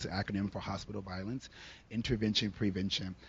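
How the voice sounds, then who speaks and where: A man talks at a very fast pace with a fairly low, somewhat breathy voice. His intonation is fairly even. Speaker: social worker on a panel. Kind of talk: panel discussion. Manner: fast-talking.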